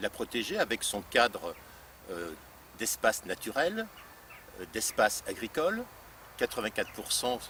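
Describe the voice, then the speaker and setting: A man at a medium pitch, fairly slow pace and very wide pitch swings. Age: 60s. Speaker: local politician, deputy mayor candidate. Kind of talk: campaign presentation. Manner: halting, many hesitations and repetitions.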